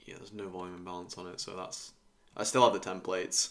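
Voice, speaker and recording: Monotone, flat intonation from a man with a very deep, low pitch. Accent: British. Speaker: futures day trader streamer. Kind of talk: live trading stream commentary. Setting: live stream. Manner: casual, thinking aloud.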